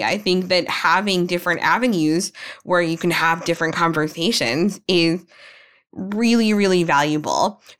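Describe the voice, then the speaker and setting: A woman's normal speaking voice at medium pitch, with ordinary pitch variation, very even loudness, and a very clean recording over a silent background. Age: 30s. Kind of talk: casual chat.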